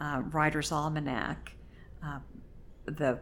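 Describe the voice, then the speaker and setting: A woman speaks at a very slow pace in a very deep, low pitch, with monotone, flat intonation and vocal fry. Audible room echo surrounds her voice. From Oklahoma. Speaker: poet, retired English teacher. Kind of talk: interview.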